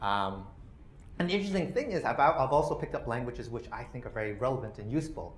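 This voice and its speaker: A man with a Canadian accent speaks at a very fast pace in a fairly high pitch, with very wide pitch swings. Room echo is audible, along with noticeable background noise. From Canada. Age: 40s. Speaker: policy researcher. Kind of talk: lecture. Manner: many fillers (uh, you know).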